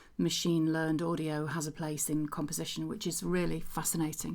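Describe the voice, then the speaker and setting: A woman talks at a fairly quick pace with a very deep, low pitch. Her intonation stays fairly even. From Stockport, England. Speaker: composer and voice actor. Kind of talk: casual talk to camera.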